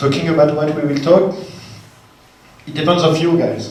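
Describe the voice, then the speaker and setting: There is noticeable background noise and audible room echo as a man speaks with a French accent. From France. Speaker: technical evangelist. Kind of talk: technical talk. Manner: halting.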